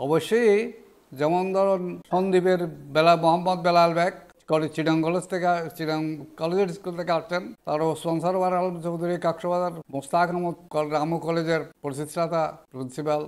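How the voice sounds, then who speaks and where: High in pitch, a man speaks with monotone, flat intonation. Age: 80s+. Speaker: retired headmaster and businessman. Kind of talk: interview. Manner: halting.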